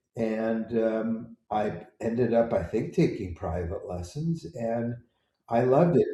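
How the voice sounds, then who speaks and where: A somewhat breathy, dark, mellow voice with an American accent, ordinary pitch variation, and a fairly slow pace. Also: man. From US Pacific Northwest, Seattle. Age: 70s. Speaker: composer. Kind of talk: interview, life story.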